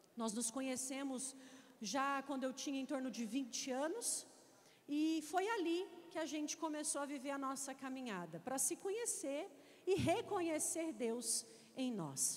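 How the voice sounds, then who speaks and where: With audible room echo around her, a woman speaks at a fairly slow pace in a high pitch, her intonation lively. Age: 30s. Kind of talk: sermon.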